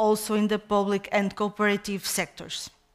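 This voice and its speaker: Speaking at a moderate pace, a woman with a Portuguese accent has a fairly high pitch. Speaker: head of a national equality commission. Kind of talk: conference presentation. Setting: conference stage with audience. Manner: halting, many hesitations.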